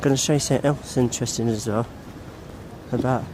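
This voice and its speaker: The speech has fairly even intonation, with noticeable background noise behind it. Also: man. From Essex and East London. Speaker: vlogger. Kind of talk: walking tour vlog. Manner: casual, rambling.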